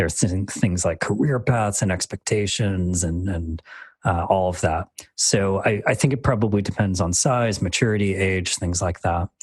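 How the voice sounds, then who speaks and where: A man with an American accent speaks at a moderate pace in a very deep, low, somewhat breathy voice with ordinary pitch variation against a quiet background. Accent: plain American. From Michigan, US. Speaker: design manager. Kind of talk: interview. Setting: video call. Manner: halting, many fillers.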